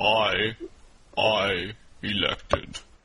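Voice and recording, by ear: A man's booming, put-on character voice, fairly low in pitch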